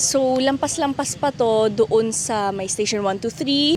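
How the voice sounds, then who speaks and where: Noticeable background noise accompanies speech at a moderate pace with lively intonation. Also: woman. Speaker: travel vlogger. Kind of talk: travel vlog. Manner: casual and chatty.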